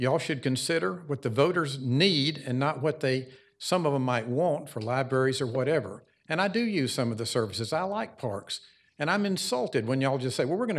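A man's fairly high voice with lively intonation, in a Southern US accent. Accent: Southern US (Georgia). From US South, Cobb County, Georgia. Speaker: small business owner speaking as resident. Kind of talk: public hearing comment.

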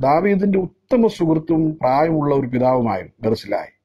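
Lively intonation carries this man's dark, mellow tone. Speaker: evangelist giving daily devotion. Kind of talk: sermon. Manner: halting, phrase-by-phrase delivery.

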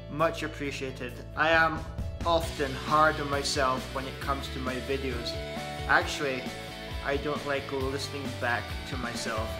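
Clear music plays in the background while a man speaks at a moderate pace, leaving long, frequent pauses. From outside Aberdeen, Scotland. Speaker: vlogger. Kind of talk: casual talk to camera. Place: home room. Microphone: phone near.

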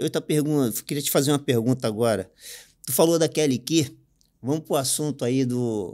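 At a moderate pace, a man speaks with a fairly high pitch. His tone is dark and mellow, over a quiet background. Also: ordinary pitch variation. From Rio de Janeiro, Realengo; Rio de Janeiro. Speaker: podcast host. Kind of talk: casual interview chat. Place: studio. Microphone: studio mic.

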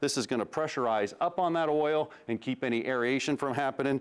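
The pace is fairly quick, with ordinary pitch variation. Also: man. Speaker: automotive TV host. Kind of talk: tutorial. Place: garage.

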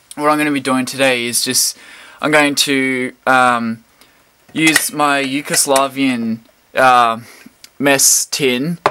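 Over light background noise, a man talks at a very slow pace in a monotone, flat intonation. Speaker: hobbyist reviewer. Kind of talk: casual product review. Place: home room.

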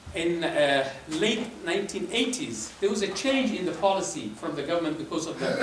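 A high-pitched man's voice at a moderate pace, with audible room echo and light background noise. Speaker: presenter. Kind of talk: lecture. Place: hall.

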